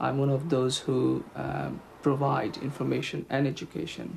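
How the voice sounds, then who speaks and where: A man with a Bangladeshi accent at a moderate pace, over noticeable background noise. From Bangladesh, Sylhet. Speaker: health promotion officer. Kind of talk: interview.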